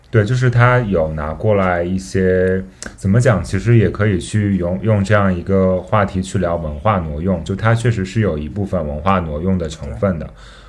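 A man talks at a moderate pace in a very deep, low pitch, with ordinary pitch variation and hardly any pauses. Noticeable background noise and audible room echo are present. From Gansu, northwest China. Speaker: podcast host, illustration graduate student. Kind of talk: casual interview chat.

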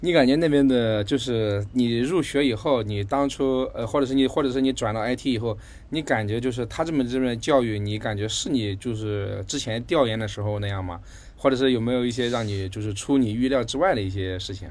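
Ordinary pitch variation marks a man's medium-pitched delivery in a plain, everyday voice. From Hangzhou, China. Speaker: podcast host. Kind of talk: casual interview chat.

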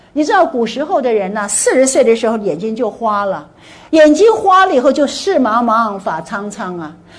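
Over noticeable background noise and audible room echo, a woman speaks at a moderate pace in an animated tone, her fairly high pitch making very wide swings. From Taiwan. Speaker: motivational speaker. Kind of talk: lecture.

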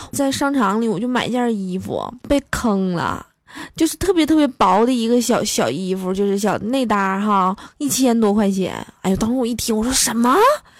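Her fairly high pitch and animated tone carry as this woman talks at a moderate pace with ordinary pitch variation. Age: 20s. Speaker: comedy podcaster. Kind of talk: comic monologue.

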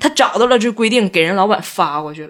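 A woman sounds animated at a moderate pace with ordinary pitch variation in a very clean recording with a silent background. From Northeast China (Tieling, Liaoning). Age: 30s. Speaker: guest. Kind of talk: casual chat. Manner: animated, laughing often.

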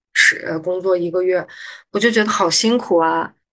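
Fairly even intonation from a woman, a normal speaking voice at medium pitch. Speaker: pharmaceutical investment manager. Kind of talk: casual interview chat.

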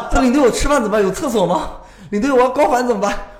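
This man's voice sits high for a man, with audible room echo and noticeable background noise around it. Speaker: tour leader. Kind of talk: casual chat.

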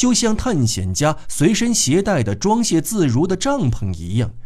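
This man talks at a fairly slow pace with a dark, mellow tone. His voice is somewhat breathy and swings very widely in pitch. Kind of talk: literary audiobook reading, scripted narration of a novel. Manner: measured, steady, formal narrator delivery.

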